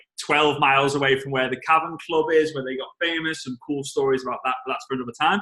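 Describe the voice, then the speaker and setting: This man has a strong Liverpool accent and a fairly high pitch. His tone is bright and sharp, his intonation fairly even, and his pace fairly quick. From England, Liverpool. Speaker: network marketing trainer. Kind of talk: casual talk on a team call. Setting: conference call.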